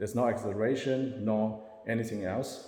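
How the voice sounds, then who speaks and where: Audible room echo and noticeable background noise surround a man speaking at a fairly low pitch with ordinary pitch variation. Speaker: self-described spiritual channeler. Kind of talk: personal monologue to camera. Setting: self-recorded on camera. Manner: halting.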